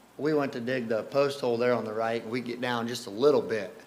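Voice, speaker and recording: Audible room echo surrounds a man's medium-pitched voice. He speaks at a moderate pace with ordinary pitch variation. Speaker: camp staff member. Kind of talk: presentation. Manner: casual, filler-heavy.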